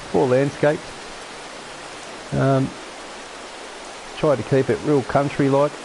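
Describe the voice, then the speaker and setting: Noticeable background noise with long, frequent pauses in the speech. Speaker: gaming streamer. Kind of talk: gameplay commentary. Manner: casual, halting with repetitions.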